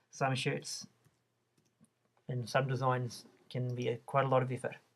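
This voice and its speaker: A man's medium-pitched, somewhat breathy voice with a New Zealand accent. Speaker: online shop designer. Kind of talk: tutorial. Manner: casual, with fillers and restarts.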